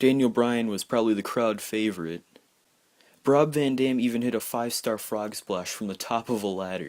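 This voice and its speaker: The quiet voice moves at a moderate pace with ordinary pitch variation, on a very clean recording with a silent background. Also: man, medium pitch for a man. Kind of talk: casual wrestling results recap. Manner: quiet, hushed.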